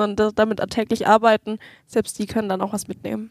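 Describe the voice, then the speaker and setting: Someone talks at a fairly quick pace in a plain, everyday voice, with a dry, close sound and no echo. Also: woman. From Nuremberg, Germany. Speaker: change management and training specialist. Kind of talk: podcast interview.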